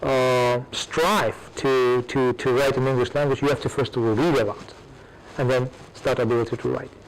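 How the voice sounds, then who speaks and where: Over noticeable background noise, a man speaks at medium pitch and a moderate pace, with fairly even intonation and very even loudness. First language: Russian. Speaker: academic with PhD. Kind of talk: audience Q&A. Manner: hesitant, repetitive.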